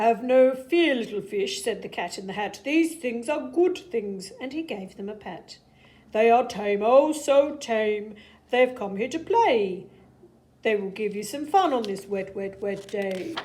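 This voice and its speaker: A woman performs a put-on character voice. It sits at a fairly high pitch and moves at a fairly slow pace. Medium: read story. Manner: playful, showy.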